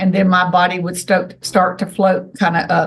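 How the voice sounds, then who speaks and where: A woman talks at a moderate pace with a medium pitch. Vocal fry runs through her voice. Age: 60s. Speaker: self-described alien contactee. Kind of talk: interview testimony.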